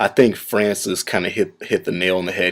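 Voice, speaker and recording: A man talks at a moderate pace in a very deep, low pitch with monotone, flat intonation. The recording is very clean, with a silent background. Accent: American. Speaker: gaming YouTuber. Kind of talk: casual response video. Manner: casual, filler-heavy.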